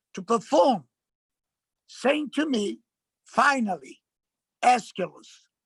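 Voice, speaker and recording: A man with an Italian accent speaks at a fairly slow pace in a bright, sharp tone with lively intonation. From Italy, Milan. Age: 70s. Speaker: actor and performer. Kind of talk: lecture. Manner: halting.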